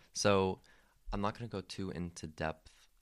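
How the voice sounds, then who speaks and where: A man at a moderate pace with fairly even intonation, dry and close with no echo, on a very clean recording over a silent background. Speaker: student interviewer. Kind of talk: interview.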